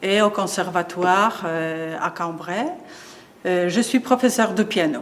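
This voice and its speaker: Her voice sits at a medium pitch. This woman talks at a very slow pace. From Poland. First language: Polish (speaking French). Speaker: piano teacher. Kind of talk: interview. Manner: halting, many hesitations.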